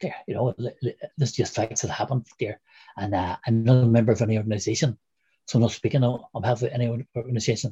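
A man's somewhat breathy, medium-pitched voice with a Northern Irish accent, very fast and fairly even in intonation, in a dry, close sound with no echo. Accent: Derry Northern Irish. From Derry, Northern Ireland. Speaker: former republican prisoner, interviewee. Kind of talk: interview, recounting personal history. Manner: halting, fillers.

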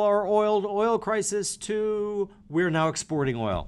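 A man talks with an American accent, his pitch high. His pace is fairly slow. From Minnesota, US. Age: 50s. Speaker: investor. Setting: in person at office. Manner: halting.

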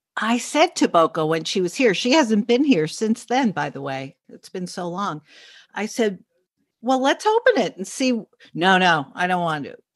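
A woman with a New York accent, fairly slow, with very wide pitch swings, against a quiet background. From New York City, Upper East Side. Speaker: journalist and podcaster. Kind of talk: casual chat.

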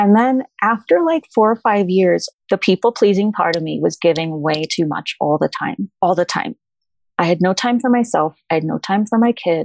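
A woman's medium-pitched, lively delivery in an ordinary speaking voice at a moderate pace, dry and close with no echo, against a quiet background. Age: 40s. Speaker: former preschool owner and author. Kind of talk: casual chat.

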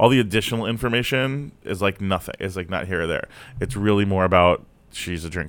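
A plain, everyday voice from a man, fairly low in pitch with ordinary variation, at a fairly quick pace in a very clean recording with a silent background. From South Florida. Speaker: comedian. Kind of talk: casual chat.

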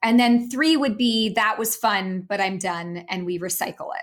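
In a very clean recording with a silent background, a woman has a normal speaking voice, a fairly high pitch and ordinary pitch variation. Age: 40s. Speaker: author and business coach. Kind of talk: interview.

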